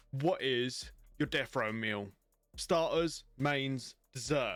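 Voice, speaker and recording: Music plays in the background. A man speaks at medium pitch with ordinary pitch variation. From Romania. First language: Romanian. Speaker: streamer interviewer. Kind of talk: casual interview chat.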